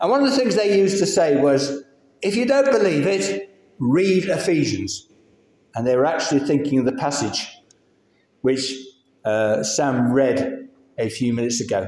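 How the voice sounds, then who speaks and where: A man's fairly high voice with very wide pitch swings, a moderate pace and long, frequent pauses. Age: 60s. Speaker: lay preacher. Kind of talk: sermon. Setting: church.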